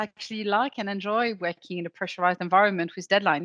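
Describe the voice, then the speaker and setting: A woman with a bright, sharp tone and fairly even intonation is heard over a quiet background, in a dry, close sound with no echo. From France. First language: French. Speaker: legal operations consultant. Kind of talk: interview.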